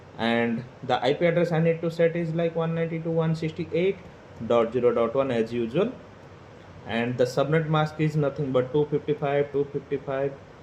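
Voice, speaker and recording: A man with an Indian accent speaks at a moderate pace in a fairly high voice. His tone is dark and mellow, with ordinary pitch variation. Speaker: PLC automation tutorial creator. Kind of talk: tutorial. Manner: hesitant, many fillers.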